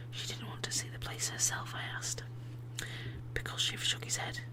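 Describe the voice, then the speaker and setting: Soft-spoken and whispering, the speaker has a gentle tone over noticeable background noise. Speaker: ASMR channel host and reader. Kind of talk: whispered book reading for ASMR. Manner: whispered, soft, gentle.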